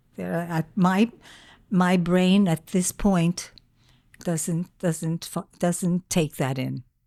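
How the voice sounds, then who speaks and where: Very slowly, a woman speaks in a fairly low pitch with a dark, mellow tone and fairly even intonation. The recording is very clean and dry, close with no echo and a silent background. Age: 80s+. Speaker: grandmother and podcast guest. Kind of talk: casual chat. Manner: halting.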